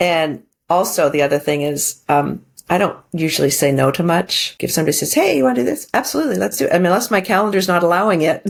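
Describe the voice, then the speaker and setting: Very fast, fairly low-pitched speech from a woman, with vocal fry, lively intonation and very even loudness. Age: 60s. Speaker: divorce recovery coach. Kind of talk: podcast interview.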